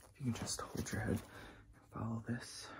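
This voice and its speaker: A man whispering in a gentle tone at a moderate pace. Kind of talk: role-play medical exam, soft-spoken. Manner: soft, gentle ASMR examiner voice. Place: home room. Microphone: phone near.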